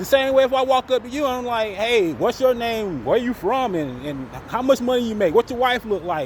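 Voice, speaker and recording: An extremely high-pitched man with an American accent and lively intonation, talking at a fairly quick pace with hardly any pauses over noticeable background noise. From Florida. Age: 40s. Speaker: vlogger. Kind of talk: casual vlog monologue.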